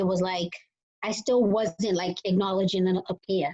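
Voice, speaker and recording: A woman with a Boston accent, somewhat breathy, at a fairly quick pace. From Boston area, Massachusetts. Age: 30s. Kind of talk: interview testimony. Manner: casual, filler-heavy.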